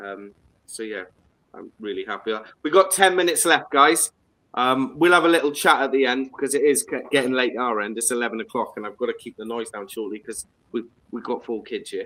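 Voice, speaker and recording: Loud and at a fairly quick pace, a man talks at medium pitch with lively intonation. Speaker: podcast host and veterans charity founder. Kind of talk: casual chat. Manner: fast.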